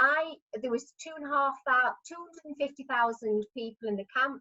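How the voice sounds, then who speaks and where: A woman speaks with an English accent and ordinary pitch variation. Her tone is bright and sharp. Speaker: retired midwife and choir member. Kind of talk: storytelling at online party. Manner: halting, many fillers.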